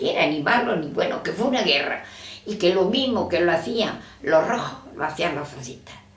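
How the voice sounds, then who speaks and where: A woman with a fairly low pitch speaks with lively intonation. The room echo is audible, and background noise is noticeable. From Andalusia, Spain (Rus, Jaén). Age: 90s. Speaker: elderly woman recalling the civil war. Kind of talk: oral history interview.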